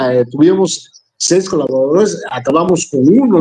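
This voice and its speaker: This man's voice has a dark, mellow tone and sits high in pitch. His intonation is lively. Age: 60s. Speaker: radio announcer. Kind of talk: interview. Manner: halting, with repetitions.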